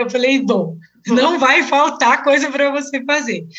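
A woman speaks at a moderate pace with a high pitch and ordinary pitch variation. Noticeable background noise is present. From Brazil, São Paulo. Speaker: travel blogger and tour guide. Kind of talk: casual interview.

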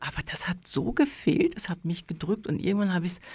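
Speaking at a moderate pace, a woman uses a medium pitch and a somewhat breathy voice. Her pitch swings very wide. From Germany, near Dortmund (North Rhine-Westphalia). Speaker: pianist, painter and psychologist. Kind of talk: casual chat.

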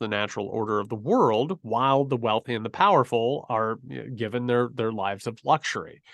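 A plain, everyday voice talks at a fairly quick pace, with a quiet background and a dry, close sound with no echo. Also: man. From rural US. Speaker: writer and academic. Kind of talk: interview.

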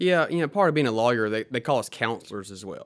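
A man with a Southern US accent, in a very clean recording with a silent background. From Mississippi Delta, US South. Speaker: lawyer and small group leader. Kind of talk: interview, telling personal story.

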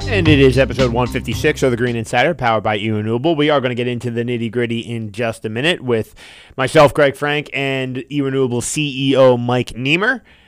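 Very fast in pace, a man with an American accent speaks at a medium pitch with fairly even intonation. The recording is very clean, with a silent background. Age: 20s. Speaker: podcast host. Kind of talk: podcast interview. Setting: studio.

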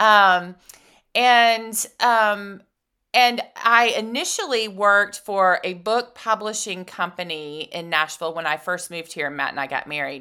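With an American accent, a woman speaks at a medium pitch and a fairly slow pace, her bright, sharp, energetic tone carried by lively intonation on a very clean recording with a silent background. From US South, Atlanta, Georgia. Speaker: publicist and business owner. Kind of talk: casual interview chat.

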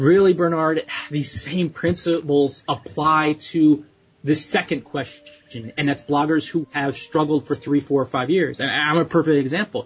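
With music in the background, a man with an American accent talks at a moderate pace, his pitch fairly high and his intonation fairly even. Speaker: blogging coach. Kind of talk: podcast advice answering a listener question.

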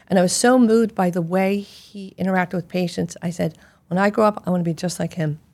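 Pitched at a medium level, a woman in a normal speaking voice shows ordinary pitch variation. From Philadelphia. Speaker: gastroenterologist. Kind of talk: interview.

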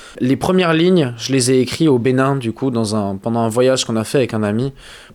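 A man speaks fairly quickly in a plain, everyday voice. His pitch sits in the medium range. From southwest France, Pyrénées-Atlantiques. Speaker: musician. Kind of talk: interview.

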